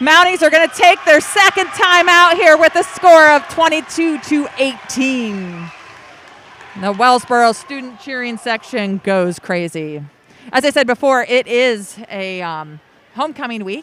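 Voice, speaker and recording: Over crowd noise in the background, a woman with an American accent uses a raised, projected voice, high in pitch, with very wide pitch swings and big swings in loudness. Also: fairly slow pace. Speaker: volleyball play-by-play announcer. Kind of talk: live commentary. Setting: indoor gym with loud crowd. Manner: loud, sometimes yelling.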